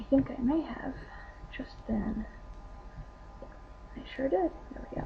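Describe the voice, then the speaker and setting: A woman's speech broken by long, frequent pauses, with noticeable background noise. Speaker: crafter demonstrating crochet. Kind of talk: tutorial. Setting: home webcam recording. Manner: casual, with hesitations.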